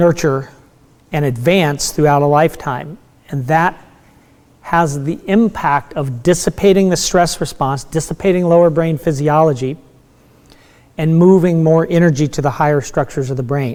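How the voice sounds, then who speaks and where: At a moderate pace, a man with an unremarkable speaking voice talks fairly high for a man, with ordinary pitch variation. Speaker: meditation teacher. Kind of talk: lecture.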